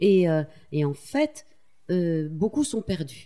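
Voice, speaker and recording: Her voice is somewhat breathy with a dark, mellow tone, and this woman uses ordinary pitch variation. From Corrèze, France. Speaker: magazine co-founder and journalist. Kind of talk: interview. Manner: halting.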